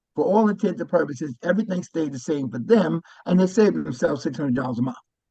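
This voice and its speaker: A man speaks at a very fast pace in a fairly high pitch, with vocal fry. His intonation is lively. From New York (Brooklyn). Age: 70s. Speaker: Medicare insurance advisor. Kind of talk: informational talk to a group.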